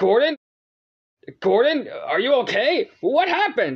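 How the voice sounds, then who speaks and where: The speech moves fairly slowly. It is delivered in a put-on character voice. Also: man, extremely high pitch for a man. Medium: read story. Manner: concerned.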